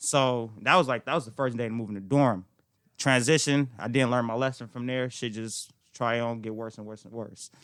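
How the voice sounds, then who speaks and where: An ordinary speaking voice from a man at medium pitch, with fairly even intonation, moderate pace, big swings in loudness, and a very clean recording over a silent background. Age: 20s. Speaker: real estate agent. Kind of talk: casual chat.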